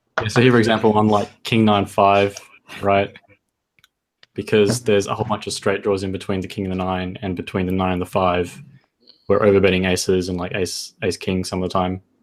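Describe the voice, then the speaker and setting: A man speaks with an Australian accent at a fairly quick pace. His intonation is monotone and flat. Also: fairly low pitch for a man. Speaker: poker coach. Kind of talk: tutorial.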